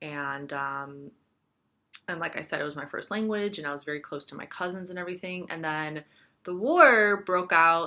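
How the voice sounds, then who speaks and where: Speaking with an American accent over a quiet background, a woman uses a bright, sharp tone at a fairly low pitch, with ordinary pitch variation and a moderate pace. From US-born, raised partly in Yugoslavia (Croatia). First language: Serbian. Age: 30s. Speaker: astrologer and tarot reader. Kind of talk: casual vlog monologue. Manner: lots of fillers, rambling pace.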